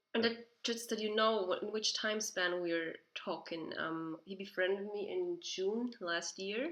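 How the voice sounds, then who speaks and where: In a Swiss German accent, a woman with a fairly high pitch speaks at a fairly slow pace with lively intonation and hardly any pauses. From Switzerland. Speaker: video host. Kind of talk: casual chat.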